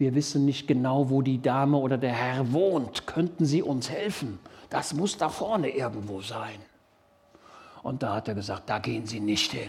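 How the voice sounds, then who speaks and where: At a moderate pace, a man with a medium pitch speaks in an animated tone with lively intonation over noticeable background noise. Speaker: preacher. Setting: church.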